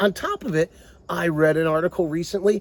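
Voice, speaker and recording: Recorded dry and close with no echo, a man talks at a moderate pace in an animated tone. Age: 60s. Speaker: political commentator. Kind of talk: opinion monologue.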